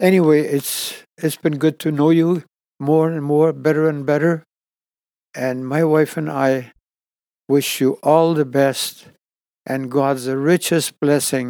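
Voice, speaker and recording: A man with a dark, mellow tone speaks at a very slow pace in monotone, flat intonation, leaving long, frequent pauses. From born in Ukraine, emigrated to Canada as a child. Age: 80s+. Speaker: retired tradesman and church member. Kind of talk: interview about life and faith.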